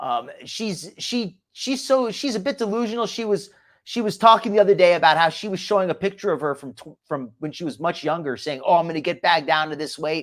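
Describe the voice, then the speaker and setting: Someone with a slight New Jersey accent speaks at a fairly quick clip in a very clean recording with a silent background. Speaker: live stream commentary host. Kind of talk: casual live stream commentary. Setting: live stream. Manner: halting, many repeats.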